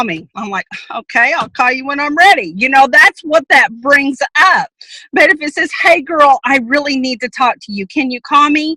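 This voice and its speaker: A woman's high, bright, sharp voice, raised and projected, with lively intonation, a moderate pace, big swings in loudness and a dry, close sound with no echo. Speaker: sales team trainer. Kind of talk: training presentation.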